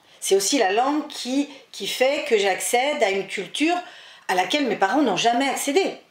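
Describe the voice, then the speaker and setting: A woman's high voice moves with lively intonation against noticeable background noise. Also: moderate pace. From France, daughter of Spanish immigrants. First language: Spanish (speaking French). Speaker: author and historian. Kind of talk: interview.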